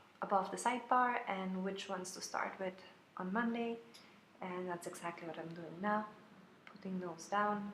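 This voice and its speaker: With audible room echo around her, a woman speaks in a strong German accent. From Austria, Vienna. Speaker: planner sticker shop owner. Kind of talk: plan-with-me video voiceover. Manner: hesitant, many fillers.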